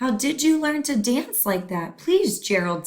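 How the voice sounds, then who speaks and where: A female-sounding, put-on character voice pitched high, with very wide pitch swings. The pace is moderate. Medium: read story.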